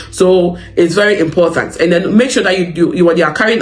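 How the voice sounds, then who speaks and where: Amid noticeable background noise and audible room echo, a man with a high pitch talks at a very fast pace. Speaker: psychiatric nurse and advice channel host. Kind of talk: advice talk to camera. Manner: conversational, frequent fillers.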